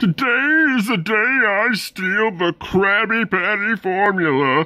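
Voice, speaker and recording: In a cartoonish character voice, the speaker talks at a fairly slow pace with a fairly high pitch. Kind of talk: cartoon voice impressions.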